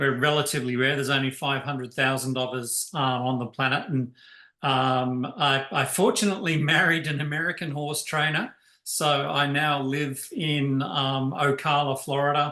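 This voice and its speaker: In an Australian accent, the speaker uses a bright, sharp tone, fairly even intonation and a moderate pace. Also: man, fairly high pitch for a man. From Tasmania, Australia. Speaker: chief scientific officer of a charity. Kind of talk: presentation. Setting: video call. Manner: hesitant, many fillers.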